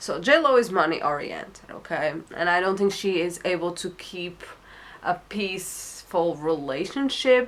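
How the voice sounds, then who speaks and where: A woman speaks with a non-native accent at a fairly low pitch. Her pace is moderate and her intonation lively. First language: not English. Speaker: tarot reader. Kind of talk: tarot reading monologue. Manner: hesitant, many fillers.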